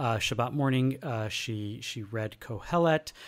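This man has a plain, everyday voice at medium pitch. His pitch variation is ordinary. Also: very clean recording, silent background. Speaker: podcast co-host. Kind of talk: casual chat.

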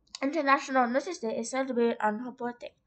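Her pitch is high. This woman speaks at a fairly quick pace. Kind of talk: informal school-style presentation narration. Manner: hesitant, casual.

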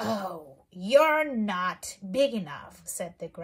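With lively intonation, the text is read aloud plainly.

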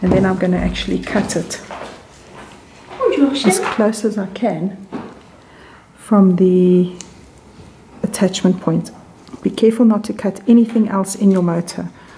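A woman speaks at a medium pitch in a calm, flat, monotone way, at a fairly slow pace with long, frequent pauses. Noticeable background noise runs underneath. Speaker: sewing machine repairer. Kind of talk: repair tutorial narration. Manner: calm, careful, detailed.

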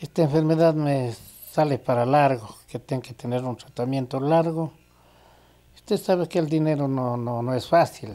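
Fairly high for a man, this voice has a dark, mellow tone, ordinary pitch variation and a moderate pace. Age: 70s. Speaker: tire repairer and welder. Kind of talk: interview answer.

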